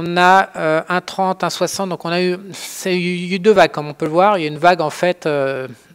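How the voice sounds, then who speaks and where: Fairly slow speech in a strong French accent. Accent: strong French accent in English words. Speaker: trading educator. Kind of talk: tutorial. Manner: halting, many fillers; casual.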